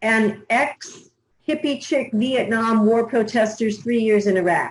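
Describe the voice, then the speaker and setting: Speaking at a very slow pace, a woman with an American accent has a fairly high, somewhat breathy voice. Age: 60s. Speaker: newspaper publisher. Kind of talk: interview.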